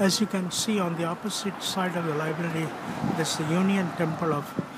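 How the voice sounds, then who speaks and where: Amid noticeable background noise and audible room echo, a man speaks at a high pitch and a moderate pace with fairly even intonation. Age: 70s. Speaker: amateur video blogger. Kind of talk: walking tour narration. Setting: outdoors on city streets. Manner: casual.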